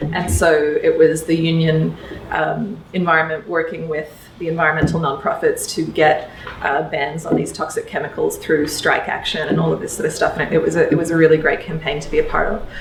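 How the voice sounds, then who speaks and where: A woman with an Australian accent speaks at a fairly quick pace. Her voice carries audible room echo and noticeable background noise. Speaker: electoral reform advocate. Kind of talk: talk to a workshop audience. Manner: many fillers and restarts.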